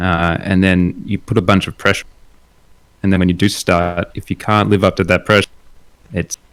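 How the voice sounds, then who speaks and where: With long, frequent pauses at a moderate pace, a man in an Australian accent speaks at a very deep, low pitch with monotone, flat intonation, the sound dry and close with no echo. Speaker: illustrator and concept artist. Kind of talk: casual chat. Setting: live stream while host paints.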